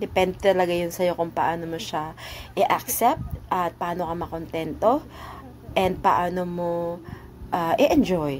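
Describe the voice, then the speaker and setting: A woman talks at a medium pitch and a moderate pace. Noticeable background noise runs beneath her. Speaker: vlogger. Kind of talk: casual voice-over narration.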